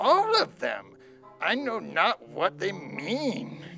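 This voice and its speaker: Clear music plays behind a put-on character voice with a fairly high pitch, delivered at a very slow pace. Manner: broken, old-fashioned speech.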